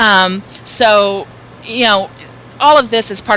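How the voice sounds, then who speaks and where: A woman speaks at a medium pitch in a Southern US accent. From US South. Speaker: author and speaker. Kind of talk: interview. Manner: loud.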